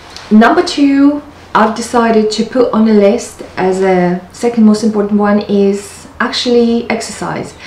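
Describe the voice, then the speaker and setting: Amid audible room echo, a woman speaks at a fairly slow pace. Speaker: lifestyle vlogger. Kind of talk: casual vlog chat. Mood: warm, upbeat, light laughs. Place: home room. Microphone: camera far.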